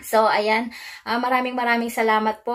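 Moderate-paced speech from a woman, with little sound behind her. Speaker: mukbang vlogger. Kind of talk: casual vlog chat. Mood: cheerful, friendly. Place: home room.

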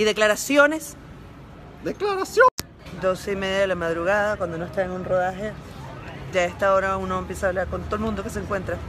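A woman talks very fast in an animated tone, broken by long, frequent pauses, with faint music behind her and a dry sound with no echo. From Latin America (not Spain). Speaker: comedian. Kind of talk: casual social media vlog. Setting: outdoors on a street at night. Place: street. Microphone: phone near.

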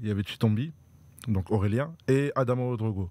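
A man's voice, dry with no echo. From France, Dreux (Eure-et-Loir); France. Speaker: professional handball player; guest. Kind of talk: casual interview. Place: studio. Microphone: studio mic.

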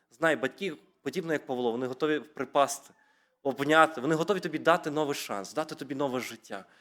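Very fast speech from a man, his voice fairly high, its pitch varying in an ordinary way. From Ukraine, rural Rivne region (Sarny district). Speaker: preacher. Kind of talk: sermon.

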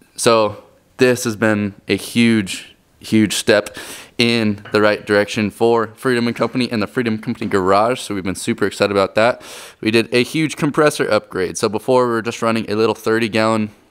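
A man talks at a fairly quick pace, with a quiet background behind him. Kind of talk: casual vlog chat. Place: garage. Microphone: phone near.

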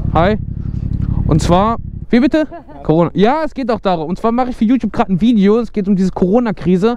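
The delivery has a fairly quick pace and ordinary pitch variation. The sound is dry, with no echo. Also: man. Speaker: motovlogger. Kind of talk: casual vlog chat. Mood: playful, joking. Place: street. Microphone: helmet.

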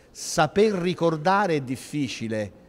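Very wide pitch swings from a man speaking at a fairly slow pace. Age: 50s. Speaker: historian and city culture official; speaker. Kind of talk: panel discussion. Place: hall. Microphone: handheld.

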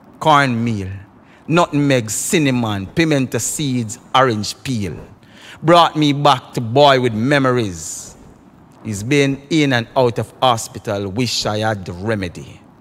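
The speaker has a Jamaican accent and talks at a very slow pace. The intonation is lively. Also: man, medium pitch for a man. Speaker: dub poet. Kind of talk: poetry reading.

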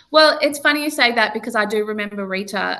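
Talking at a very fast pace, a woman uses an Australian accent and a medium pitch. Her tone is bright and sharp, with ordinary pitch variation. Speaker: singer, talent show winner. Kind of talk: interview. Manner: hesitant.

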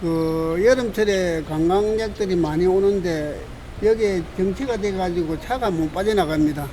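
Over noticeable background noise, a man speaks at a fairly slow pace in a high pitch. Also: ordinary pitch variation. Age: 70s. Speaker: retired high school principal, traffic volunteer. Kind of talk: interview answer.

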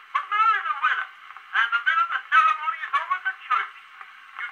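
A man with an American accent speaks in a raised, projected voice at a fairly quick pace, with ordinary pitch variation. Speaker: vaudeville comedian, master of ceremonies. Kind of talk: comic monologue. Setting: early acoustic cylinder recording. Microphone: old recording.

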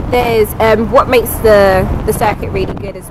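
A woman talks at a fairly quick pace. The sound is dry with no echo, and loud background noise runs underneath. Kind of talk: casual vlog chat. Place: garden. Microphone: phone near.

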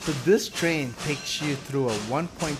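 At a moderate pace the speaker goes on while clear music sounds in the background. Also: man. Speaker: travel vlogger. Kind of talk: casual vlog chat. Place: open country. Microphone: phone near.

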